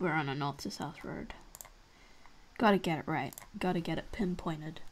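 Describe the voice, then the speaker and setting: In an Australian accent, a woman speaks at a moderate pace with long, frequent pauses. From Australia, Victoria. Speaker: gaming youtuber; streamer playing a geography game. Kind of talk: gameplay commentary. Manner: thinking aloud, hesitant. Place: home room.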